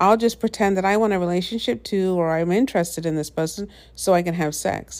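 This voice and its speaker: Her medium pitch showing ordinary variation, a woman speaks at a moderate pace on a very clean recording with a silent background. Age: 50s. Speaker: podcaster. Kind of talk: casual monologue. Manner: animated.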